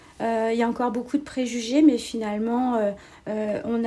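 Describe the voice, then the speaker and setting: Her tone dark and mellow, a woman speaks at a fairly high pitch and fairly slow pace with monotone, flat intonation. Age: 40s. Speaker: civil servant. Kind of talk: interview. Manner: hesitant, many fillers.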